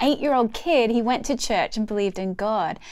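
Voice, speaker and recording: A woman speaks in an Australian accent with ordinary pitch variation. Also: very clean recording, silent background. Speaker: church leader, course presenter. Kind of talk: scripted course presentation.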